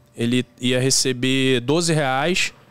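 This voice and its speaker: In a fairly high pitch, a man speaks with ordinary pitch variation, the sound dry with no echo. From Rio de Janeiro, Brazil. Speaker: rideshare driver and YouTuber; YouTuber. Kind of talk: casual chat. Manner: halting. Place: studio. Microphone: studio mic.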